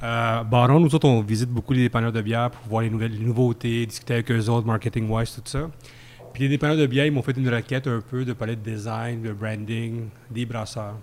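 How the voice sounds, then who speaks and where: In a Quebec accent, a man talks at a fairly quick pace and medium pitch with fairly even intonation. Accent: Québécois French. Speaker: beer podcast columnist. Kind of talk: casual chat. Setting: microbrewery pub.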